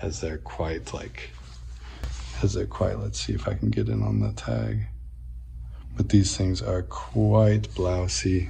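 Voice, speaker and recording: Over light background noise, a man with a very deep, low pitch and a dark, mellow tone speaks at a very slow pace with lively intonation, vocal fry and long, frequent pauses. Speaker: fashion vlogger. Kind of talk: casual talk to camera.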